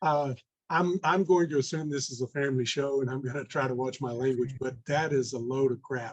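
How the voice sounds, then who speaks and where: The speaker is a man with a medium pitch. He talks at a fairly quick pace with fairly even intonation. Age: 60s. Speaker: real estate investor. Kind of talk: podcast interview. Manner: halting, many fillers.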